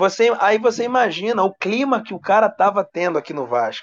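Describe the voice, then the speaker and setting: A man with a high pitch speaks at a moderate pace. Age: 30s. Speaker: sports journalist. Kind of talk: casual chat.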